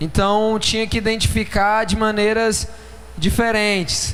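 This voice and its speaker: Over noticeable background noise, a man speaks at a high pitch. He talks at a fairly slow pace, and the room echo is audible. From Brazil, São Paulo. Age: 20s. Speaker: pastor. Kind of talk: sermon.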